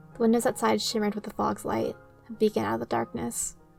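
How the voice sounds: A natural reading voice is what this recording carries.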